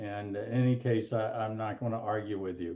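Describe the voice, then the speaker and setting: Against a quiet background, an unremarkable speaking voice moves at a moderate pace with ordinary pitch variation. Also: man. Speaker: law professor emeritus and mediator. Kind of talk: webinar presentation.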